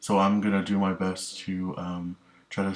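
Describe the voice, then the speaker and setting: A man with a very deep, low voice speaks in a flat monotone. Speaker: student presenter. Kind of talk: class presentation. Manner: halting, many ums.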